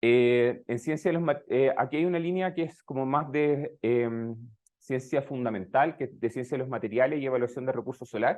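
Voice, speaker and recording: At a moderate pace, a man with a Chilean accent speaks at a medium pitch. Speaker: researcher. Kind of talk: lecture. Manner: hesitant, many fillers.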